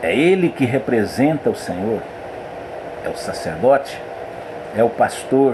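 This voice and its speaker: At a fairly slow pace, a man speaks in a medium pitch with lively intonation and long, frequent pauses. Audible room echo and noticeable background noise fill the recording. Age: 60s. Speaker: pastor. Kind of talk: sermon.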